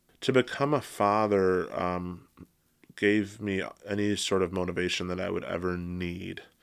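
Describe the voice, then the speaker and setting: A man with an American accent, a very deep, low pitch, fairly even intonation and a fairly slow pace. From Michigan, Metro Detroit. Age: 30s. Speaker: therapist and professor. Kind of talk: casual interview conversation. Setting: studio with headphones and mics.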